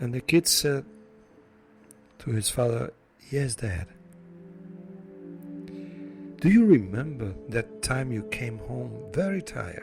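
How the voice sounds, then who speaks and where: Over background music, a man with a non-native accent speaks at a very slow pace with long, frequent pauses, very wide pitch swings and big swings in loudness. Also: medium pitch for a man. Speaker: motivational speaker. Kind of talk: inspirational story talk to camera.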